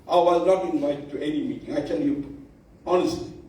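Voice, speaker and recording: Very wide pitch swings at a fairly quick pace, with audible room echo. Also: man. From South Africa, Durban area (Indian community). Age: 70s. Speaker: bhajan society elder. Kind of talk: speech at awards function.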